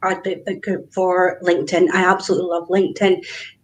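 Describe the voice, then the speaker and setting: Here is a woman speaking. She has a Scottish accent. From Scotland, Glasgow. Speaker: business networker. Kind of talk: casual interview. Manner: animated.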